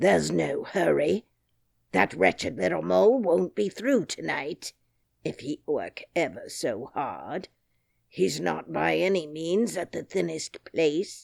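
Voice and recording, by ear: Someone uses a put-on character voice, raspy and low-to-middle in pitch, at a fairly slow pace.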